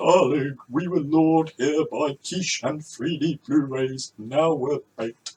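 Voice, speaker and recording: A man does a put-on character voice, fairly high in pitch, at a fairly slow pace with hardly any pauses. The sound is dry and close with no echo. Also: fairly even intonation. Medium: solo performance.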